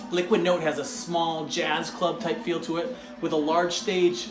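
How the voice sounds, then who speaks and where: With music playing in the background, a man with an American accent speaks in an enthusiastic tone at a high pitch. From Michigan, Detroit suburbs. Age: 40s. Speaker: craft beer reviewer. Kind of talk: travel vlog narration. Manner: casual, enthusiastic.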